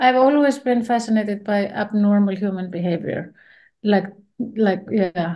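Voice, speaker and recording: A woman with an Icelandic accent and a dark, mellow tone at a moderate pace. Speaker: film director. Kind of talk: interview. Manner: halting.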